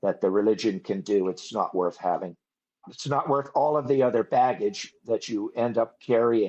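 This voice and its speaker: A man at a medium pitch and a moderate pace, in a plain, everyday voice. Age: 60s. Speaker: ex-religious movement survivor. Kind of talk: interview testimony.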